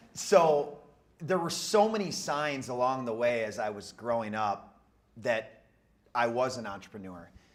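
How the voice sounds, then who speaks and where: In an American accent, a man with a medium-pitched voice speaks at a fairly slow pace with lively intonation. His volume swings a lot, and the room echo is audible. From Minnesota, Twin Cities area. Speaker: real estate entrepreneur. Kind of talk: interview on stage. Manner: loud.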